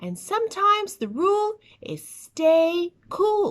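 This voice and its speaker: A woman uses a put-on character voice pitched extremely high. She speaks at a fairly slow pace in a gentle tone. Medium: read story. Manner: patient, gentle.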